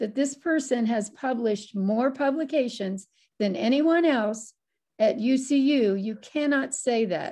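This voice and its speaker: The voice has a dark, mellow tone and lively intonation, with an American accent. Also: woman, quiet background. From US Midwest, Ohio. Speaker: moderator and journalism editor; moderator. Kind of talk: moderating an online seminar. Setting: video call. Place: home room. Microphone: video call.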